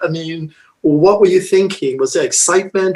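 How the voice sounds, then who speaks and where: This man talks at a moderate pace in a high-pitched voice. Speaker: interviewer host. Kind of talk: interview questions.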